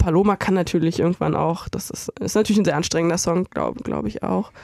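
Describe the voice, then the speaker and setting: On a very clean recording with a silent background, a woman's voice sounds dry and close, with no echo. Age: 30s. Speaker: editorial writer and video director. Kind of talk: casual chat. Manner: animated.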